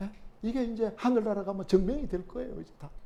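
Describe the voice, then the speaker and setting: A man's voice with audible room echo. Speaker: pastor. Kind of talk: sermon. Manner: conversational, many interjections.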